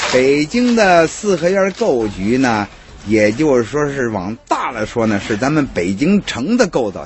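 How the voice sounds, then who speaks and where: A man speaks at a fairly slow pace and a medium pitch, with very wide pitch swings. Noticeable background noise runs under his voice. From Beijing. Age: 50s. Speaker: hutong tour guide. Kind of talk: casual explanation.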